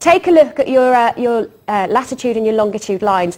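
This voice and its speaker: With very wide pitch swings, a woman speaks at a moderate pace. Her pitch is fairly high. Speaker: shopping channel presenter. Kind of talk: home shopping TV sales pitch. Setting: studio. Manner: chatty, persuasive.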